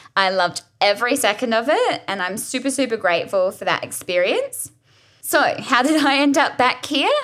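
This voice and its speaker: Delivered at a moderate pace in an Australian accent, the speech shows very wide pitch swings. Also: woman, high pitch for a woman. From Australia, Adelaide. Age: 30s. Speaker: podcast host. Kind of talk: casual monologue. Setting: home kitchen.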